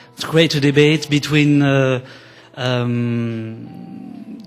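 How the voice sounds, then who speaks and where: Music plays in the background. Over it, a man speaks at a fairly high pitch with ordinary pitch variation. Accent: French. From France. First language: French. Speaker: documentary filmmaker. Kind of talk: conference presentation. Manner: halting.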